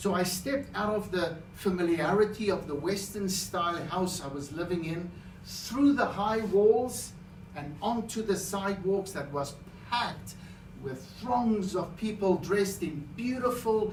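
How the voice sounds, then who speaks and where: The room has audible echo and noticeable background noise. A man talks at a fairly slow pace, his voice high with ordinary pitch variation. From South Africa. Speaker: public speaker. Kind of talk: contest speech.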